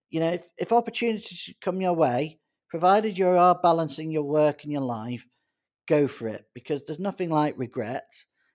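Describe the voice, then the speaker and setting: In a very clean recording with a silent background, a man with a Manchester accent speaks at a moderate pace and fairly high pitch with lively intonation. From Greater Manchester, northern England. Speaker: doctor. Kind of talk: interview. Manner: halting.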